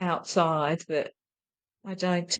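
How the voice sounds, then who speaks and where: At a very slow pace, a woman with an Australian accent speaks at a medium pitch, the sound dry and close with no echo. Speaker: spiritual healer. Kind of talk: casual interview conversation.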